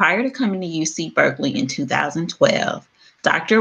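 The speaker is a woman. Her pitch rises and falls in a lively way. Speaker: program director hosting workshop. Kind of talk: speaker introduction. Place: home room. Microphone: webcam.

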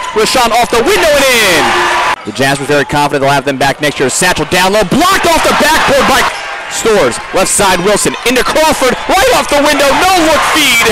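Through loud background noise, a man in a raised, projected voice sounds energetic and animated, high in pitch with very wide pitch swings. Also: dry sound with no echo. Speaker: college basketball play-by-play announcer. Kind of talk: live play-by-play sports commentary over game highlights. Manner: rapid-fire, clipped, punchy calls, rising excitement on made threes; energetic, animated, with exclamations. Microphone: headset.

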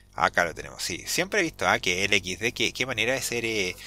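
The speaker has a Chilean accent and a bright, sharp tone. The pace is fairly quick. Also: man. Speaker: Linux YouTuber. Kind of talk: tutorial. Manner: hesitant, many fillers; talkative.

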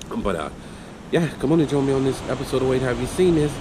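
A man's voice against noticeable background noise. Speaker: vlogger host. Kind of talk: casual vlog chat. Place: garage. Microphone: phone near.

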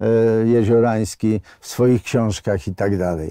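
Very slow, dry speech with no echo from a man at a medium pitch, with a dark, mellow tone, ordinary pitch variation and a quiet background. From Poland. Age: 70s. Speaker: independence activist, former boxer; interview guest. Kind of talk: interview testimony; interview answer. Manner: halting. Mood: earnest, emotional recollection. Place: studio. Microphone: lapel.

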